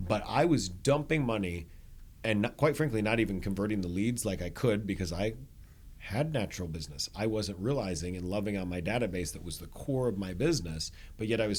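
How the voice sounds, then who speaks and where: Audible room echo surrounds very fast speech with lively intonation. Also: man. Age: 40s. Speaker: real estate broker and coach. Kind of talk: podcast interview.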